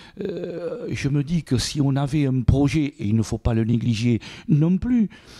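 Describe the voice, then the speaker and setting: A man's fairly high-pitched voice with lively intonation at a very slow pace, dry and close with no echo, over noticeable background noise. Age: 60s. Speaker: mayor. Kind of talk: interview. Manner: halting, many repetitions.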